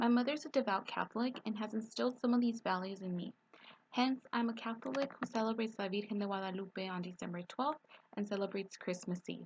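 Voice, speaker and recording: Very fast and somewhat breathy, a woman speaks at a fairly high pitch. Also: ordinary pitch variation. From East Los Angeles, California. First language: Spanish. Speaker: student. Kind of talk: reading aloud. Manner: scripted, read-aloud delivery.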